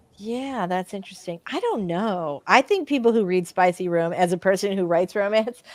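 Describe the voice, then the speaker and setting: In an ordinary speaking voice, a woman with a medium pitch and ordinary pitch variation talks at a moderate pace with hardly any pauses, the sound dry and close with no echo. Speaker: romance author and livestream host. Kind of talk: casual chat on a livestream.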